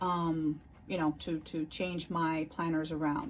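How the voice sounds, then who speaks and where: A woman speaking at a fairly slow pace, her voice somewhat breathy. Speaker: planner YouTuber. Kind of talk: casual chat.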